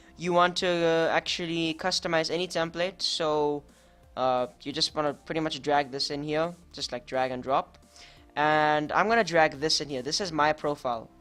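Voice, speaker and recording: The speech unfolds at a moderate pace. Behind it, music can be heard. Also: woman. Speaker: video editing tutorial youtuber. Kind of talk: tutorial. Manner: casual, unscripted.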